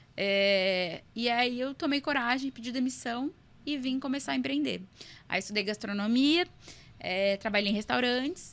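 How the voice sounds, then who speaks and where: Using an ordinary speaking voice, a woman talks at a fairly slow pace with a fairly high pitch and lively intonation. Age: 20s. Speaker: entrepreneur. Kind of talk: podcast interview.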